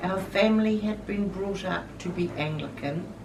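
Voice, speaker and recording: There is noticeable background noise in this clip. A woman speaks with ordinary pitch variation. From New Zealand. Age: 70s. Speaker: Anglican minister. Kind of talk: interview answer.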